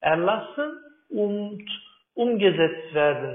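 In a Turkish accent, a man speaks at a very slow pace with lively intonation, and audible room echo surrounds him. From Turkey. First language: Turkish (speaking German). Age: 30s. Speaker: climate activist and agricultural engineer. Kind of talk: interview. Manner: halting, many fillers.

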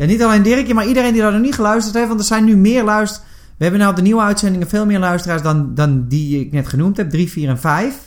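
With hardly any pauses, a man talks very fast at a high pitch and with lively intonation. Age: 30s. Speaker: podcast co-host. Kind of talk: casual chat. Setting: studio.

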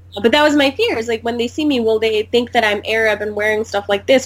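A woman with an ordinary speaking voice, fairly high in pitch. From US (born in India, moved as a child). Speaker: podcast guest, former study-abroad student. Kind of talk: casual chat.

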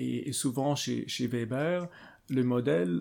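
A dark, mellow tone at a very slow pace on a very clean recording with a silent background. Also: man. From Switzerland. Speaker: political theory professor. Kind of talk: interview. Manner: halting, many repetitions and fillers.

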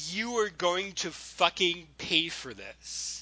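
Someone growls in a put-on character voice at a middle pitch and a very slow pace. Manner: snarling, menacing.

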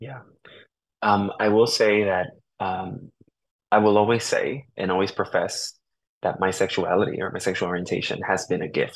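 Fairly low and fairly even in intonation, a man speaks at a moderate pace with long, frequent pauses. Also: very clean recording, silent background. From New Haven, Connecticut, with Puerto Rican family. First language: Spanish. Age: young. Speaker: reverend and divinity student. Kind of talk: interview. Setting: radio studio. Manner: thoughtful, hesitant with fillers.

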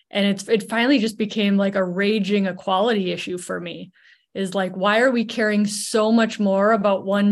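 At a fairly quick pace, a woman speaks in a monotone, flat intonation at medium pitch. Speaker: urologic surgeon and author. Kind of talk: interview. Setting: video call. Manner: easy to listen to.

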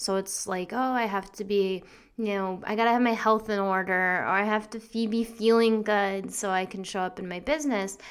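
Recorded very cleanly with a silent background, a woman with a normal speaking voice and medium pitch talks at a moderate pace with fairly even intonation. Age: 30s. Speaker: podcast host, business coach. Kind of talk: solo monologue. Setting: home recording at computer. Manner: casual, many fillers and laughs.

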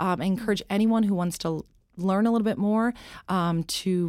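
A woman speaks with an American accent in a normal speaking voice, at medium pitch and a moderate pace. Her pitch varies in an ordinary way, and the recording is very clean with a silent background. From US, small-town Pennsylvania. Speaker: nonprofit director. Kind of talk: interview.

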